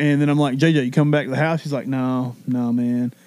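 The voice belongs to a man. It is an unremarkable speaking voice. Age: 30s. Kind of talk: casual chat.

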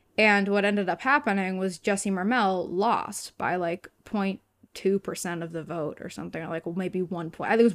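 A woman with an American accent speaks in an unremarkable speaking voice at medium pitch, with ordinary pitch variation and hardly any pauses. The recording is very clean, with a silent background. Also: big swings in loudness. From Massachusetts. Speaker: theater student and activist. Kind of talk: casual chat.

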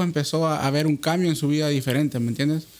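A man with an unremarkable speaking voice talks at a fairly quick pace, his fairly high pitch held in fairly even intonation. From Honduras. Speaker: podcast host. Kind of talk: casual chat.

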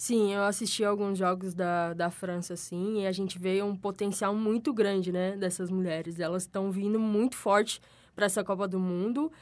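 Speaking at a medium pitch, a woman keeps a moderate pace with hardly any pauses and fairly even intonation. The recording is very clean, with a silent background. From interior of São Paulo state, Brazil. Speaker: sports commentator. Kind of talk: casual chat.

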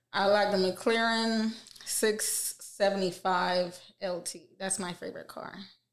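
A woman with an American accent speaks at a very slow pace and medium pitch, her intonation monotone and flat, with big swings in loudness. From Queens, New York and Jamaica. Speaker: gamer and streamer. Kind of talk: casual interview chat.

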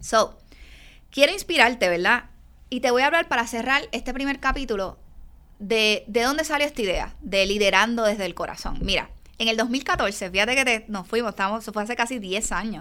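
A woman speaks in a Puerto Rican accent with an animated, bright, sharp tone. Her pitch variation is ordinary. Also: fairly high pitch for a woman, moderate pace. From Puerto Rico, Yabucoa. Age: 40s. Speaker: chiropractor and business coach. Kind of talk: solo podcast monologue.

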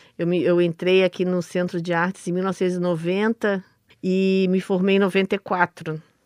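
Over a quiet background, a woman talks at medium pitch and a very slow pace, with a dry, close sound and no echo. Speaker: stage actress. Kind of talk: radio interview.

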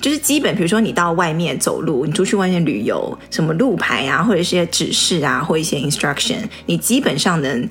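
Against noticeable background noise, a woman speaks fairly quickly in a fairly low voice with very wide pitch swings. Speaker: podcast co-host. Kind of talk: casual chat.

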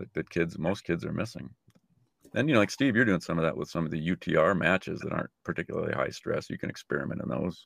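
In a dry, close sound with no echo and a very clean recording with a silent background, a man with a very deep, low pitch and vocal fry races at a very fast pace through very wide pitch swings. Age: 60s. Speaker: retired tennis coach. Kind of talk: casual chat.

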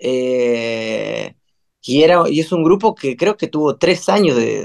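The recording is dry and close, with no echo and a quiet background. A man talks with ordinary pitch variation. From Buenos Aires, Argentina. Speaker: musician, band singer. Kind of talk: interview conversation. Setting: home recording room, remote. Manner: hesitant, many fillers.

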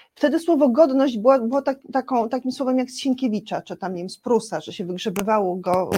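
A woman speaks with lively intonation and a dark, mellow tone that is somewhat breathy. The sound is dry and close, with no echo. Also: very clean recording, silent background. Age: 50s. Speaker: civic activist. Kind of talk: interview. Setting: studio.

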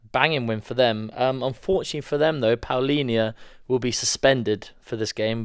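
A man speaks at a medium pitch in a Welsh accent, moving at a fairly quick pace with ordinary pitch variation. The recording is very clean, with a silent background. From Wales. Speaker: podcast co-host. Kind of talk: casual chat.

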